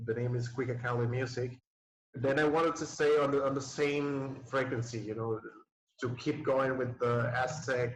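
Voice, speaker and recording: The man's voice sits at a medium pitch and moves at a moderate pace. His intonation is flat and monotone. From Nicaragua. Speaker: DJ. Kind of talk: casual interview. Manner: halting, many fillers.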